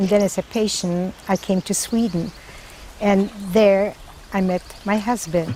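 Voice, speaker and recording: Over music in the background, a woman talks at a fairly slow pace with fairly even intonation and long, frequent pauses. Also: medium pitch for a woman. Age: 80s+. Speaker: Holocaust survivor and mountaineer. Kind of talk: interview testimony.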